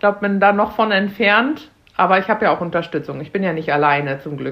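A woman with a normal speaking voice, medium pitch, ordinary pitch variation and a fairly quick pace. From Germany, Münster (NRW). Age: 30s. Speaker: cook and mother. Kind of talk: casual chat.

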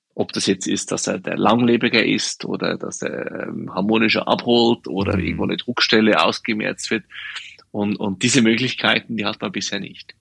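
A man talks at a moderate pace in a plain, everyday voice, fairly low with ordinary pitch variation. The sound is dry and close, with no echo. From Swiss Alps. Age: 40s. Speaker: shoe company co-founder. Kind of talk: interview.

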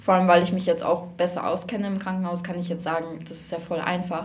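A woman talks very fast in a fairly low pitch with a monotone, flat intonation. The room echo is audible. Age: young. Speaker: hospital volunteer. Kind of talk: casual chat. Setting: studio.

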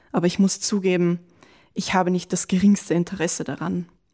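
In a very clean recording with a silent background, a woman speaks at a moderate pace with monotone, flat intonation. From Lower Austria. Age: 20s. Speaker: diary writer, former slam participant. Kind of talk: reading aloud own diary entries; casual interview chat.

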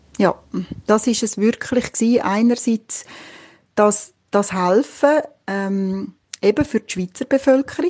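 This woman's voice has a fairly high pitch, a dark, mellow tone and lively intonation, sounding somewhat breathy in a dry, close recording with no echo. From Switzerland. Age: 50s. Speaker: midwife. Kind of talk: interview.

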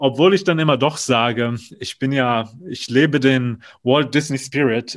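A man talks at a moderate pace in an ordinary speaking voice, medium in pitch. His intonation stays fairly even over a quiet background. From Germany, North Rhine-Westphalia. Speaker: theme park attraction designer. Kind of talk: casual interview.

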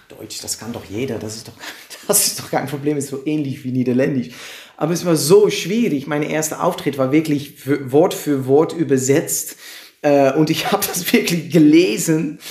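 Spoken at a moderate pace with ordinary pitch variation, over noticeable background noise. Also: man, fairly high pitch for a man. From Netherlands, Amersfoort. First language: Dutch (speaking German). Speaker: comedian. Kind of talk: interview. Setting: live stream, in person. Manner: halting.

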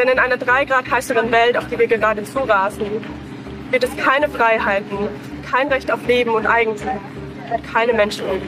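Over noticeable background noise, the speaker goes at a fairly quick pace with fairly even intonation and long, frequent pauses. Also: woman, fairly high pitch for a woman. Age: 40s. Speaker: climate protester. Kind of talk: street protest interview; protest speech.

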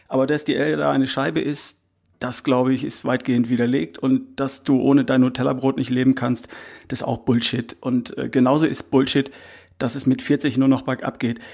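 Medium-pitched male voice with vocal fry, fairly even intonation and a moderate pace. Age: 50s. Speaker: health coach. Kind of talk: interview.

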